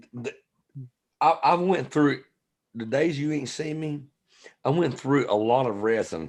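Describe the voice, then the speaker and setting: A man with a Southern US accent talks at a fairly high pitch and a fairly slow pace, with ordinary pitch variation and long, frequent pauses. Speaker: friend on a livestream. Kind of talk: casual chat.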